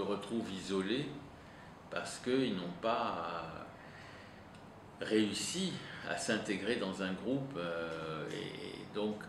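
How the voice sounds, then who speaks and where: A man with a fairly low pitch talks very slowly. His intonation is lively, and room echo is audible. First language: Italian (speaking French). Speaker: psychoanalyst. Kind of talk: interview. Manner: halting, many hesitations.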